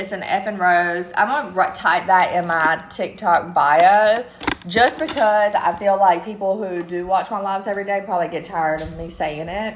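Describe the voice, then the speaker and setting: A woman's medium-pitched voice in a strong Southern US accent, at a moderate pace with ordinary pitch variation, against noticeable background noise. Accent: thick Southern country. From US South, eastern North Carolina. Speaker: live streamer. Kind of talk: casual chat. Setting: TikTok live stream.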